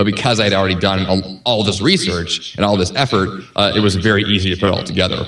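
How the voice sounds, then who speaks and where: Over noticeable background noise, a man talks at a very fast pace in a fairly low voice, with very even loudness and fairly even intonation. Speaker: podcast host and author. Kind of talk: podcast interview.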